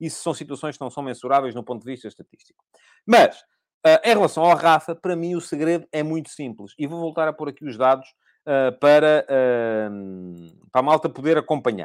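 A man with a European Portuguese accent speaks at a moderate pace in a fairly high voice, his intonation lively and his loudness swinging widely. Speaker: football commentator, podcast host. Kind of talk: solo live-stream football analysis. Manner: hesitant, many filler sounds.

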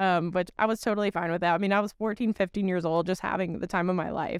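Recorded very cleanly against a silent background, a woman speaks at a medium pitch with fairly even intonation. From Connecticut, US. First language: Portuguese. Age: 20s. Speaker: former beauty pageant titleholder, HR professional. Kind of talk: casual interview chat.

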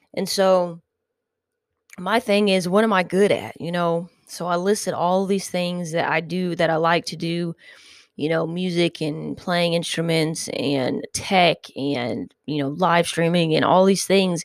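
A very clean recording with a silent background of a woman's fairly low-pitched, plain, everyday voice with fairly even intonation. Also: fairly slow pace. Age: 30s. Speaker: podcast host. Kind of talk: casual monologue. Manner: rambling, filler-heavy.

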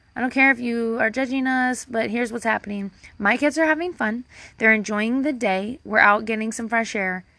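Bright and sharp in tone, a woman with fairly high pitch talks at a fairly quick pace with ordinary pitch variation against a quiet background. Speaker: podcast host. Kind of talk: casual solo monologue. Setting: hiding outside at home. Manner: rambling, filler-heavy, casual; low-energy, self-deprecating.

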